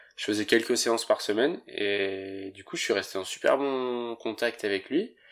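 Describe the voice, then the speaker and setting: A man's medium-pitched voice, varying in pitch in an ordinary way, is heard on a very clean recording with a silent background. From French Alps, Haute-Savoie. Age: 20s. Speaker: professional snowboarder. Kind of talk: interview. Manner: casual, hesitant with fillers.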